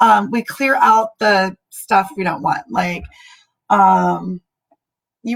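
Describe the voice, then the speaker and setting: With a Californian accent, the speaker goes at a very slow pace with ordinary pitch variation. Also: woman. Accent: Californian American. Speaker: spiritual healer and military veteran. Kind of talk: livestream talk to viewers. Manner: casual with many fillers.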